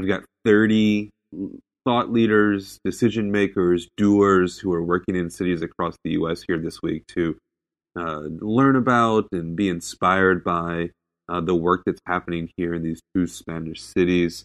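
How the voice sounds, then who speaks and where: A man with a very deep, low pitch speaks at a fairly slow pace with fairly even intonation, the sound dry and close with no echo and a quiet background. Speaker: podcast co-host. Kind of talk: casual monologue. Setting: hotel room.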